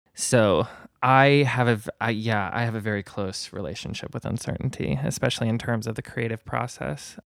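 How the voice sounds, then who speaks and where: With an American accent and some vocal fry, a man talks at a moderate pace, with a medium pitch and ordinary pitch variation. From Indiana, US Midwest. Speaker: artist and musician. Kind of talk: casual chat.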